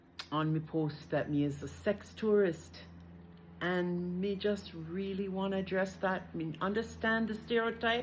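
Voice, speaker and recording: A woman's somewhat breathy voice at a medium pitch, with ordinary pitch variation, at a fairly slow pace with long, frequent pauses, in audible room echo. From Canada. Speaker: social media creator. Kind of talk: casual vlog.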